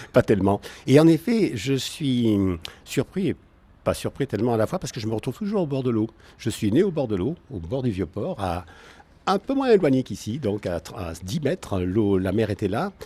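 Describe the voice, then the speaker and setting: Recorded with a dry, close sound with no echo, a man in a Marseille accent speaks at a moderate pace with a medium pitch, a dark, mellow tone and very wide pitch swings. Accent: Marseille accent, kept. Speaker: naturopath and energy therapist. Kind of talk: radio interview. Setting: at his home.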